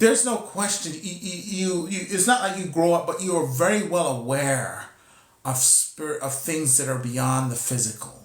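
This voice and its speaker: Through noticeable background noise, a man speaks at a high pitch and a moderate pace with lively intonation. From Costa Rica. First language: Spanish. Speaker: spiritual teacher. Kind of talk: spiritual teaching talk. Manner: halting, with repetitions.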